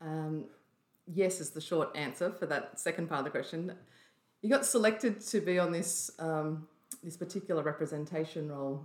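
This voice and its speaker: The speaker has an Australian accent and ordinary pitch variation. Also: woman, fairly low pitch for a woman, moderate pace. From Australia, New South Wales North Coast (Byron Bay hinterland). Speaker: former UN peacekeeper and speaker. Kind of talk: interview conversation.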